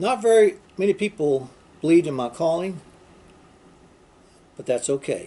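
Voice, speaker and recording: A man's high-pitched voice at a moderate pace, with lively intonation and long, frequent pauses. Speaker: pastor. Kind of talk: sermon. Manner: halting, repeats words.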